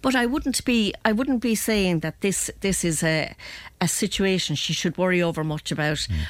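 An Irish accent at a moderate pace, with very even loudness throughout. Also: woman, medium pitch for a woman. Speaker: agony aunt. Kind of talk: advice segment. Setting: studio.

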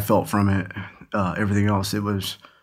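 A man speaks at a moderate pace in an American accent, his pitch fairly low. The recording is very clean, with a silent background. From Oklahoma. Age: 40s. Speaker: former prisoner. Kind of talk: testimony. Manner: halting, many fillers.

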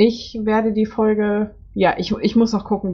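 A woman's fairly high, somewhat breathy voice at a moderate pace. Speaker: podcast host. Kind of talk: interview.

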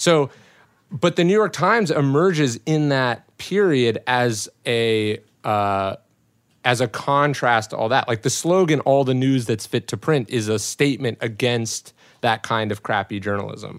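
In a very clean recording with a silent background, a man with an unremarkable speaking voice talks fairly slowly at a medium pitch, with lively intonation. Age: 20s. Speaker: author and former publicist. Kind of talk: casual chat. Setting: hot recording room.

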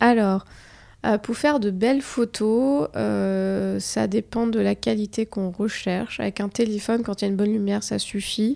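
A woman talks at a fairly slow pace, recorded very cleanly against a silent background. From Morocco. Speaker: fashion influencer. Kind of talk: interview. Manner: hesitant.

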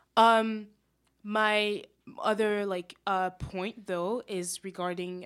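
A woman's voice in a French accent, with fairly even intonation. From France. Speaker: student panelist. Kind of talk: radio panel discussion. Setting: radio studio.

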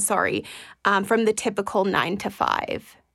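A woman speaks with an unremarkable speaking voice at a fairly high pitch. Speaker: podcast host. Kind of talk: podcast interview.

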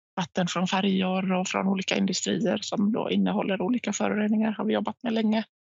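A woman talks at a moderate pace. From Finland, near Vaasa (Swedish-speaking Ostrobothnia). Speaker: head of sustainability at a recycling company. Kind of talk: interview. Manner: hesitant, with frequent repetitions.

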